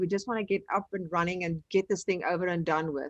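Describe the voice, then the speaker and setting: Against a quiet background, a woman with a South African accent speaks at a fairly quick pace in a dry, close recording with no echo. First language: Afrikaans. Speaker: online business trainer. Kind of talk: live webinar tutorial. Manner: casual.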